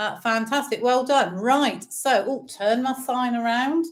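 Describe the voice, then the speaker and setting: A woman with an English accent speaks at a very slow pace and a fairly high pitch. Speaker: bingo caller for charity fundraiser. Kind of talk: bingo calling on a live stream. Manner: cheerful, chatty; slow, deliberate number calling.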